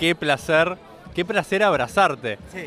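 A high-pitched man speaking at a fairly slow pace in an Argentine accent. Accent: Argentine Spanish (Rioplatense). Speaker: bitcoin community member. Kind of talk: casual chat.

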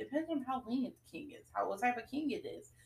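A woman speaks at a fairly quick pace with a high pitch. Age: 20s. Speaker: podcast co-host. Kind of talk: casual chat.

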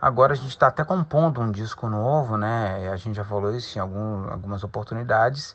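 A man with a plain, everyday voice, medium pitch, ordinary pitch variation, a fairly quick pace and hardly any pauses. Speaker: rock singer and musical actor. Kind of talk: interview.

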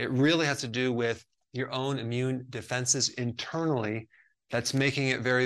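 At a moderate pace, a man with medium pitch and an ordinary speaking voice keeps his intonation fairly even. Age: 50s. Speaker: health educator. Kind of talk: tutorial. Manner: casual, conversational.

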